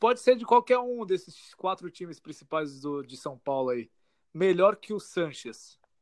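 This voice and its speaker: A man's high-pitched voice with lively intonation and a fairly slow pace, in a dry, close sound with no echo. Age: 20s. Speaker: football podcast co-host. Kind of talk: casual chat. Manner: animated.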